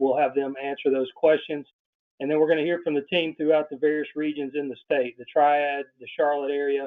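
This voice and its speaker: With an American accent, this man speaks at a fairly quick pace in a fairly high pitch and a monotone, flat intonation. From Alabama. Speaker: webinar host for insurance agents. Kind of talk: training webinar introduction. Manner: fast.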